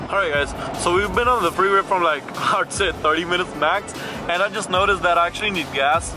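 Over background music, a man talks at a very fast pace with ordinary pitch variation, and the sound is dry with no echo. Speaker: car vlogger. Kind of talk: casual vlog chat. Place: car. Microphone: phone near.

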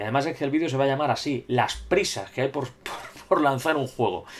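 A man speaks at a fairly quick pace in an unremarkable speaking voice. His pitch sits fairly high. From Spain. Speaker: gaming YouTuber. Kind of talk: solo video commentary reading viewer comments. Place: home room. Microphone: webcam.

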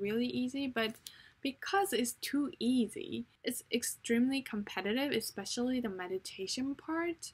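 A woman speaks with a fairly high pitch and a slightly husky edge. Her pitch varies in an ordinary way. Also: moderate pace.

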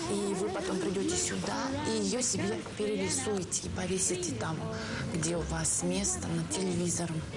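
A woman at a fairly slow pace over loud music in the background. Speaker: TV presenter. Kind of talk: humorous TV presenter chat. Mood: ironic, playful.

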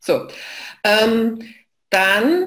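A woman speaks at a fairly high pitch that swings very widely. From Saxony, eastern Germany (Leipzig); Saxony. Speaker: knowledge management expert; presenter. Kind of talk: online lecture / live session. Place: home room.

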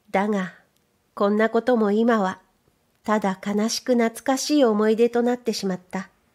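Here a woman speaks with fairly even intonation and a fairly high pitch in a normal speaking voice. The recording is very clean, with a silent background. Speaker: audiobook narrator. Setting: studio. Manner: calm, unhurried, measured pace with clear enunciation.

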